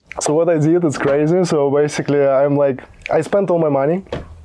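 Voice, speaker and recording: Fairly high in pitch, a man talks fairly quickly with fairly even intonation while noticeable background noise carries on. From Belarus. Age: young. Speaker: content creation entrepreneur. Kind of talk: casual podcast interview. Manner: halting, many repetitions and fillers.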